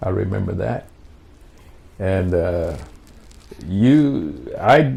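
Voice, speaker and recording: Speaking with an American accent, the man has a very deep, low pitch and very wide pitch swings. He talks at a very slow pace, with audible room echo. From Washington, D.C. (born South Carolina). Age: 80s+. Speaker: war veteran. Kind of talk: interview. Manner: halting.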